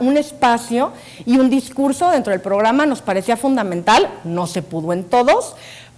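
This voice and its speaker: Delivered at a moderate pace with lively intonation, the speech sits over noticeable background noise. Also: woman. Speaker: science communicator and TV scriptwriter. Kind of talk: conference talk.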